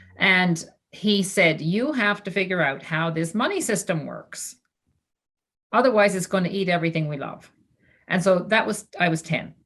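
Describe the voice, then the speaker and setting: With lively intonation and fairly low pitch, a woman talks at a moderate pace in an unremarkable speaking voice. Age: 60s. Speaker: former finance executive, philanthropist. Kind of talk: panel discussion. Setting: video call.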